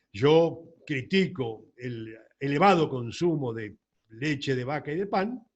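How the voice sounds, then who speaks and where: A somewhat breathy man with a Rioplatense accent, his pitch fairly high, his intonation lively, against a quiet background. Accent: Argentine Rioplatense Spanish. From Argentina, La Plata. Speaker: doctor. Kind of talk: lecture. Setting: recorded alone at a computer.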